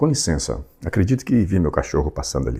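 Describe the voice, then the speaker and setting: A man with a very deep, low pitch and vocal fry has a dark, mellow tone on a very clean recording with a silent background. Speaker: audiobook narrator. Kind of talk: reading aloud; casual chat.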